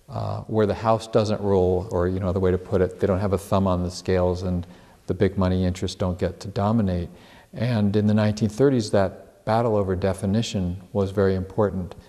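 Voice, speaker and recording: Quick-ish speech comes from a man with a very deep, low pitch and a dark, mellow tone, at a fairly quick pace. His intonation is fairly even against a quiet background. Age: 60s. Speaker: congressional candidate and activist. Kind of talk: interview.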